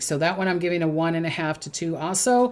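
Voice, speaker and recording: A woman with a Minnesotan accent, fairly low pitch, ordinary pitch variation and moderate pace. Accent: Minnesota. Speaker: psychic. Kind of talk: predictions monologue. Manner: hesitant, many fillers.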